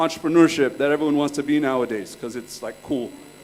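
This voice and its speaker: Noticeable background noise surrounds a man speaking with a Californian accent. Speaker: entrepreneur and workshop speaker. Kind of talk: conference talk. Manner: casual, joking.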